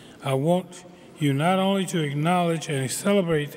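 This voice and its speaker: At a moderate pace, a man talks in a fairly high pitch with ordinary pitch variation. Noticeable background noise can be heard. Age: 70s. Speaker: community college governing board member. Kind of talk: commencement speech. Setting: graduation ceremony.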